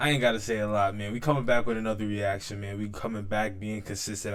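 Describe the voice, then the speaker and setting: Monotone, flat intonation amid audible room echo. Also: man. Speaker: YouTube reactor. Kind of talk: casual reaction commentary. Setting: home recording setup. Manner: halting, stuttering.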